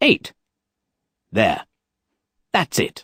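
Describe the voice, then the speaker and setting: A raspy, put-on character voice from a man, pitched extremely high. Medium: read story.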